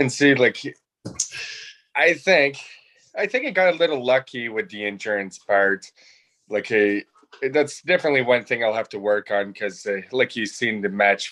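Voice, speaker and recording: A man with a French-Canadian accent talks at a medium pitch in a bright, sharp tone. His speech has long, frequent pauses. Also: lively intonation, moderate pace. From northeastern Ontario, Canada (Franco-Ontarian). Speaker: trivia game winner. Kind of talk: casual chat.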